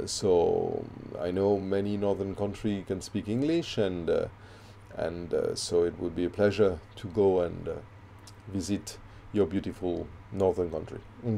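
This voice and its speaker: A man with a fairly low pitch and a dark, mellow tone talks at a moderate pace with ordinary pitch variation and long, frequent pauses. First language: not English. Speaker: facial reflexology instructor. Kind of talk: casual interview chat. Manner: halting.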